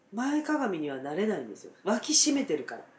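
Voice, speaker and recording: Amid noticeable background noise, a woman speaks at a fairly high pitch with very wide pitch swings. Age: 50s. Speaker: dentist. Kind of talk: casual chat.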